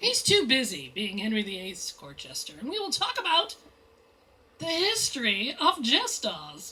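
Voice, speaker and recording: An animated woman's voice over noticeable background noise. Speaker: mystery novelist. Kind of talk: author talk at bookstore. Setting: bookstore event with audience. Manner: loud.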